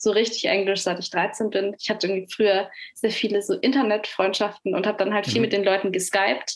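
Fairly even intonation marks a normal speaking voice that talks fairly quickly. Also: woman. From Nuremberg, Germany. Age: young. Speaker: singer-songwriter. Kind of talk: interview.

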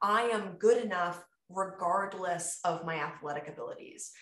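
The voice rises and falls in an ordinary way, with audible echo from the room. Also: woman. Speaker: podcast host and fitness coach. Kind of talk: casual chat. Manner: animated.

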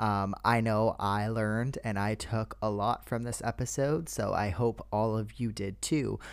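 A man talks at a fairly slow pace with hardly any pauses. The recording is very clean, with a silent background. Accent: Canadian. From Canada. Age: 20s. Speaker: podcast host. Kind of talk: casual chat.

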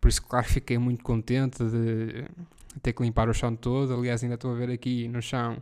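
The speaker has a European Portuguese accent. The pace is moderate. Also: man. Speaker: podcast host. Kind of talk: casual solo monologue. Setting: living room at home.

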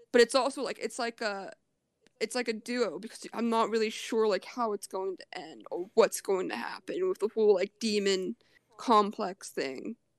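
Over a quiet background, a woman with a fairly high voice and lively intonation speaks at a moderate pace, her loudness swinging widely in a dry, close sound with no echo. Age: 20s. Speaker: podcast guest. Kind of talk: casual chat.

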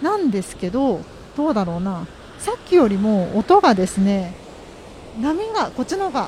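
Amid noticeable background noise, a woman speaks at a moderate pace with long, frequent pauses and very wide pitch swings. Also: fairly high pitch for a woman. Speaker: podcast host. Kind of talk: casual monologue. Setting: outdoors by the sea. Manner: polite formal.

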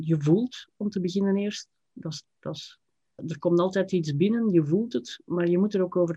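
Dry and close with no echo, the voice carries a dark, mellow tone. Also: woman. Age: 50s. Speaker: writer and writing teacher. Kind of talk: interview conversation. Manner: hesitant, with frequent repetitions.

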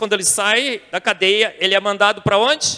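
A man's raised, projected voice with a Brazilian accent, high-pitched and bright and sharp in tone, at a moderate pace in a dry, close sound with no echo. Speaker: scientist and intelligent design advocate. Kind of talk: testimony talk to a church youth audience.

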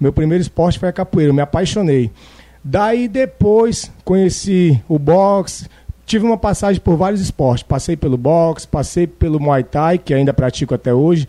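The man's voice is high, with a dark, mellow tone and lively intonation. He keeps a moderate pace and very even loudness. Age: 30s. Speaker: personal trainer and jiu-jitsu athlete. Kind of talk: casual chat.

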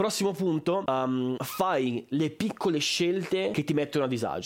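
A normal speaking voice from a man, pitched fairly high, its intonation lively. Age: 20s. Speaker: podcaster and content creator. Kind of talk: casual unscripted monologue. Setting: home room, camera.

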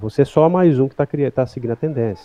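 Lively intonation runs through this man's medium-pitched voice, an unremarkable speaking voice. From Goiânia, Brazil. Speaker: motion designer. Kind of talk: casual interview.

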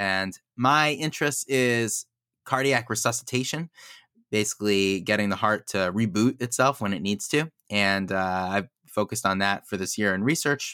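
In an American accent, a man with a fairly low pitch and a bright, sharp tone speaks at a moderate pace with ordinary pitch variation, the sound dry and close with no echo. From Monsey, New York. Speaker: cardiologist. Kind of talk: interview, medical explanation.

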